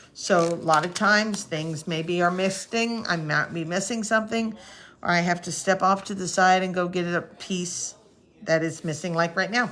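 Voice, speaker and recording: With fairly even intonation, an ordinary speaking voice proceeds at a moderate speed. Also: woman, fairly low pitch for a woman. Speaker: card-making crafter. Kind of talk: crafting tutorial livestream. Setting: live stream on social media.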